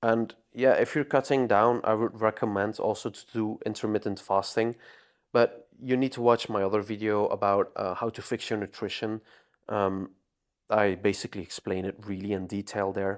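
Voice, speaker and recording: With a non-native accent, a man speaks at a moderate pace in a fairly low pitch and fairly even intonation, on a very clean recording with a silent background. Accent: non-native pronunciation. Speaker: fitness coach. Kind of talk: tutorial. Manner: hesitant, many fillers.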